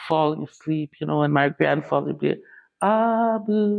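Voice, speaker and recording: This woman's pitch sits very deep and low, with ordinary variation. She talks at a moderate pace. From southwest Manitoba, Canada (Dakota reserve). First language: Dakota. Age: 60s. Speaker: storyteller. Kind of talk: interview storytelling.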